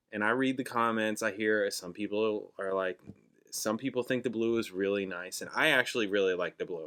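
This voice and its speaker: A man's fairly low voice with an American accent and fairly even intonation, in a very clean recording with a silent background. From New Jersey. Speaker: musician and reaction channel host. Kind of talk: casual vlog monologue. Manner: loud, projecting.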